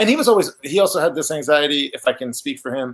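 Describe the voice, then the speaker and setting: This man has an Iranian accent. His voice sits at a fairly high pitch. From Iran, then raised in Oklahoma. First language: Farsi. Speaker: author. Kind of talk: interview about his book. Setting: virtual event video call. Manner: halting, many fillers and restarts.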